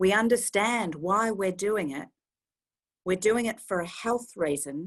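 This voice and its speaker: A woman's medium-pitched voice with an Australian accent, ordinary pitch variation, and a fairly slow pace. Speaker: medical director of a harm reduction service. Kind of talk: talk. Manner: animated.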